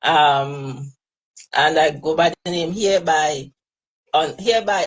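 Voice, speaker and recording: A woman speaks in a Trinidadian accent. Her pace is fairly slow. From Trinidad and Tobago. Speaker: hairstylist. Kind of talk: live interview.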